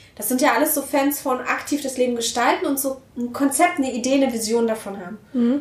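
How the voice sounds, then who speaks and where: Over noticeable background noise, a woman talks in an animated tone at a high pitch. She moves at a fairly quick pace with ordinary pitch variation and hardly any pauses. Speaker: podcast host. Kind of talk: interview conversation. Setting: home of guests.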